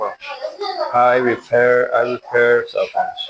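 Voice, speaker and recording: Speaking at a fairly slow pace, a man talks in a Spanish accent. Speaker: livestreamer, cell phone repair technician. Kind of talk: casual livestream chat, mixing English and Spanish. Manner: halting, repeats words and stutters.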